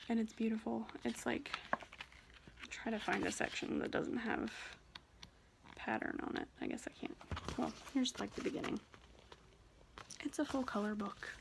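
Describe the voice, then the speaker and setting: At a moderate pace, a woman speaks quietly with long, frequent pauses over noticeable background noise. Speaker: cross stitch vlogger. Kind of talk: casual chat.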